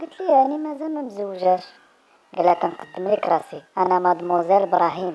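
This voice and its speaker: Speaking at a moderate pace, a woman with a Moroccan accent uses lively intonation. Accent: Moroccan Arabic (Darija). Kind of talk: joke telling.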